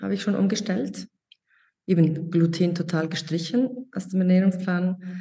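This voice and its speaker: Somewhat breathy and dark and mellow in tone, a woman speaks at a fairly slow pace with ordinary pitch variation. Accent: Swiss. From Switzerland. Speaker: mentoring participant, online shop owner. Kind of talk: interview. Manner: halting.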